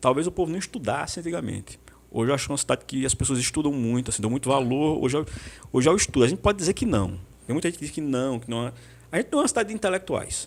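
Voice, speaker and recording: Talking very fast, a man uses lively intonation in a fairly high pitch. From Brazil, Pernambuco (Santa Cruz). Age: 40s. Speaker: history teacher. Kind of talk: podcast interview.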